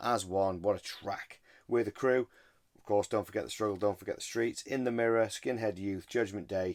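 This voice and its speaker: On a very clean recording with a silent background, a man with a British accent speaks at a moderate pace, his fairly low pitch showing ordinary variation while his loudness swings widely. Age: 40s. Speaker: record collector video host. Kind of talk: casual chat. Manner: animated.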